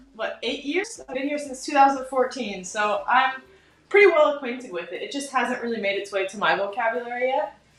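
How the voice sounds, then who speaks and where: A woman with an American accent speaks at a high pitch with lively intonation. There is noticeable background noise. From United States. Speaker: hair colourist and educator. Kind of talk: live hair colouring demo and interview.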